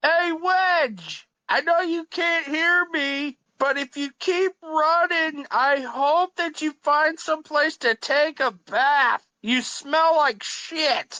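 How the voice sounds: A put-on character voice with a bright, sharp tone speaks at a slow pace. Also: woman, high pitch for a woman, ordinary pitch variation, dry, close sound with no echo.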